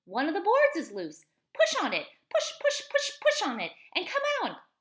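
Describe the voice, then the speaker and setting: A woman uses a put-on character voice, squeaky and extremely high in pitch. She speaks at a moderate pace in a raised, projected voice. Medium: read story. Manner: fast, repeats words.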